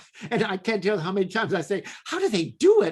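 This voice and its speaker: The intonation is lively. Noticeable background noise runs under the voice. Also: man. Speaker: talk show host. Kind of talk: casual chat.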